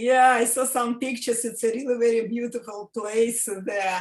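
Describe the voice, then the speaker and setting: Her voice is high-pitched for a woman, with fairly even intonation. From Russia. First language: Russian. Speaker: interviewer. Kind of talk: interview. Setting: video call. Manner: halting.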